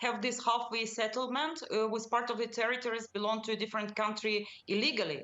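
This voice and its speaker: A woman with a Russian accent talks at a very fast pace in a fairly high pitch. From Ukraine, Kyiv. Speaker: think tank chairperson. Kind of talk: panel debate.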